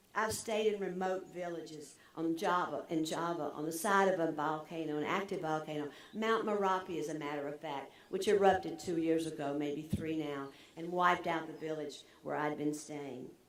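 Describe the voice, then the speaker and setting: Room echo is audible, along with noticeable background noise. A woman speaks with a very deep, low pitch and fairly even intonation. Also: moderate pace. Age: 70s. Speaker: commencement speaker, former nonprofit CEO. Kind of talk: commencement address.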